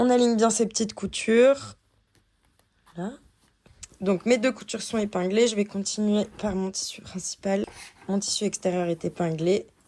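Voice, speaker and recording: A woman speaks at a medium pitch with a dark, mellow tone and fairly even intonation. Her pace is moderate, broken by long, frequent pauses. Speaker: sewing tutor. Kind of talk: tutorial.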